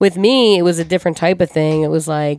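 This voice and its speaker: Someone speaks in an American accent with ordinary pitch variation. The recording is very clean, dry and close, with a silent background and no echo. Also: woman. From US Northeast, Ocean City, New Jersey. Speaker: DJ. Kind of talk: casual chat.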